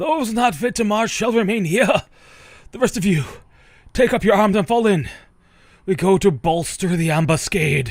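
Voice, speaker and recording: Putting on a character voice, a man speaks at a high pitch with lively intonation and a moderate pace, broken by long, frequent pauses. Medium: game stream. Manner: stern, military.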